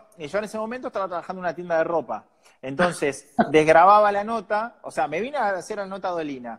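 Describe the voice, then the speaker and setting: A man's high-pitched voice with lively intonation at a very fast pace, in a very clean recording with a silent background. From Argentina, San Nicolás de los Arroyos (Buenos Aires province). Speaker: journalist and TV presenter. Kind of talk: interview conversation.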